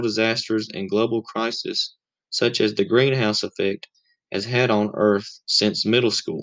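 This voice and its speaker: This man speaks with a Southern US accent at a moderate pace. His pitch is medium, with ordinary pitch variation. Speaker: college student podcaster. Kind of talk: scripted narration; interview.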